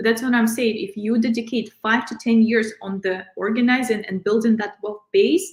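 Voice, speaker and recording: A woman with a fairly high, somewhat breathy voice talks at a moderate pace with ordinary pitch variation. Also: hardly any pauses. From outside the US, immigrant. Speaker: financial advisor. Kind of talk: interview, financial advice.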